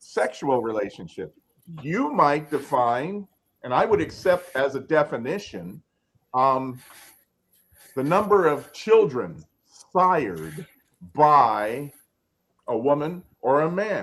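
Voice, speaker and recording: A man talks at a fairly high pitch with vocal fry and very wide pitch swings. He goes very slowly, with long, frequent pauses. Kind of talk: panel debate. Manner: deliberate.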